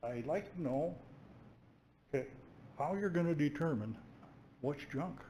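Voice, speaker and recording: Amid audible room echo, a man with a somewhat breathy, dark, mellow tone and a fairly high pitch speaks at a moderate pace with lively intonation and long, frequent pauses. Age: 70s. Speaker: resident making public comment. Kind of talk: public comment at council meeting. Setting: council chamber.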